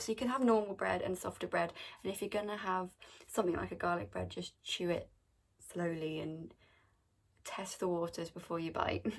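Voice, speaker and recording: In an English accent, the speaker talks at a moderate pace. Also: woman. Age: adult. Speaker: vlogger. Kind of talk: casual Q&A vlog. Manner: casual, chatty.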